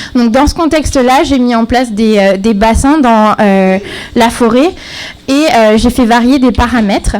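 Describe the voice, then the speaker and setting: Quietly and at a fairly slow pace, a woman speaks with a fairly high pitch. Noticeable background noise sits behind her. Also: ordinary pitch variation. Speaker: graduate student presenting thesis. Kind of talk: timed thesis presentation. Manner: halting, many fillers; too quiet.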